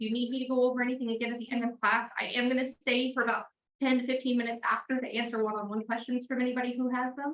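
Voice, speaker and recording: A woman speaks very fast in a high voice with an American accent. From Texas. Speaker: MLS trainer. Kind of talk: training class. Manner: clear enunciation.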